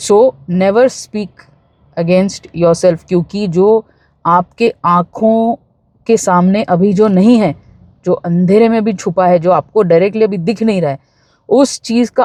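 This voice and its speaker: A woman with a Bombay accent speaks at a medium pitch in a dark, mellow tone. The sound is dry and close, without echo. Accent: Bombay street Hindi, self-described. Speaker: spiritual self-help YouTuber. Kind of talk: motivational talk. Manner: casual, with fillers.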